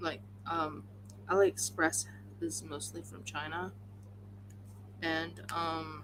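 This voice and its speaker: Over noticeable background noise, a woman with a very deep, low pitch talks at a very slow pace, her pitch swinging very widely and her speech broken by long, frequent pauses. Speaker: craft livestreamer. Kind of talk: casual livestream talk.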